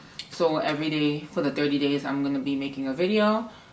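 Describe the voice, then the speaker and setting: A woman speaks with a New York accent. Her pace is fairly quick. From New York, Harlem. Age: 20s. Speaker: vlogger. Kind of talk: casual vlog Q&A. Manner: hesitant, many fillers.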